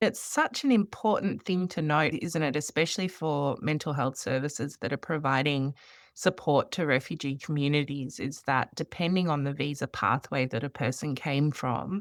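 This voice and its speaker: Speaking at a moderate pace with hardly any pauses, a woman with an Australian accent has a very deep, low pitch and ordinary pitch variation on a very clean recording with a silent background. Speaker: podcast host, refugee health worker. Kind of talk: interview podcast conversation.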